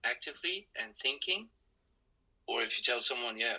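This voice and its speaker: A man with a Swiss German accent at a moderate pace. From Switzerland, Zurich. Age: 20s. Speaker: university student. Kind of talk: casual conversation. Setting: audio-only podcast recording. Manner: halting, frequent repetitions.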